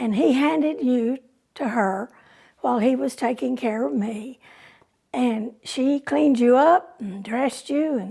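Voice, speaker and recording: With a Texan accent, a woman speaks fairly slowly in a high-pitched voice that has a dark, mellow tone and lively intonation. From Texas, San Angelo. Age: 80s+. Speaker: oral history narrator. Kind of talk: oral history storytelling.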